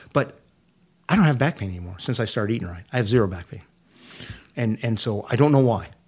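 Somewhat breathy, a man at medium pitch talks very fast with lively intonation, broken by long, frequent pauses. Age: 60s. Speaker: prostate cancer patient. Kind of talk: casual chat.

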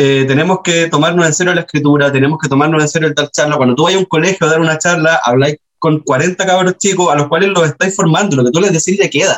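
A man with a Chilean accent talks at a very fast pace, with hardly any pauses and a fairly high pitch. His loudness stays very even and his intonation fairly even. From Chile, Antofagasta. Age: 30s. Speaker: writer. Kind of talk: casual interview.

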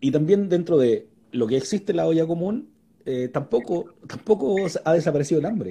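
In a Chilean accent, a man speaks at a fairly quick pace, his high-pitched voice dark and mellow in tone, with lively intonation. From Chile, Santiago (Puente Alto). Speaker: live-stream interview host. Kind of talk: casual interview. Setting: live online video stream.

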